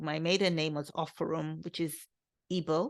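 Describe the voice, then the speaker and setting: With a British accent, a woman speaks at a fairly low pitch and moderate pace. Her intonation is fairly even over a quiet background. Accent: British undertones. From England, London, UK-raised. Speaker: podcast host. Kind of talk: solo podcast talk. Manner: conversational, with fillers.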